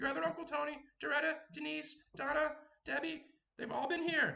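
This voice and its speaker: A man puts on a character voice at an extremely high pitch. He moves along at a fairly quick pace. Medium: actual play. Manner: rambling, fussy.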